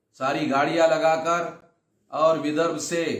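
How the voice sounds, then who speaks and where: There is audible room echo as a man speaks with a fairly high pitch. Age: 60s. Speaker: activist and organization leader. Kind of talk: recorded video address to a gathering.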